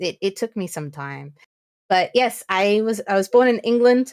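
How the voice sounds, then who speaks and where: A woman in an animated tone, with a dry, close sound and no echo. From New Zealand. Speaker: streamer. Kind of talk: casual chat.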